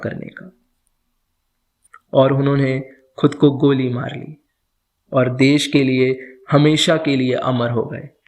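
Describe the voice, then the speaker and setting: The man speaks with a fairly high pitch. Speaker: storyteller. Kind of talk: podcast story narration.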